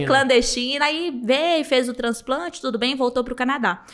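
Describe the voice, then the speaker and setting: Her pace is moderate. This woman's pitch rises and falls in an ordinary way. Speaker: hair transplant doctor. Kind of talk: podcast interview answer. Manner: friendly, warm.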